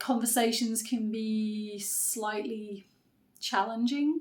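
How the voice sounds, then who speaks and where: A woman with a British accent speaks at a fairly slow pace in a monotone, flat intonation. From UK. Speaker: writer and content creator. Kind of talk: unscripted vlog monologue. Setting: unedited one-take video.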